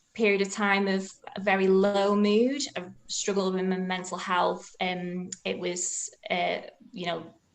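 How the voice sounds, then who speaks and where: A woman speaks at a medium pitch and a fairly slow pace. Her intonation stays fairly even, and the room echo is audible. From northern England, Oldham. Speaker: dietitian giving a faith talk. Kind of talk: personal testimony talk. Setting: video call. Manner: hesitant, many fillers.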